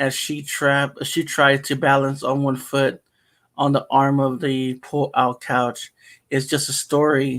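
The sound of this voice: Over near silence, an unforced reading voice is heard.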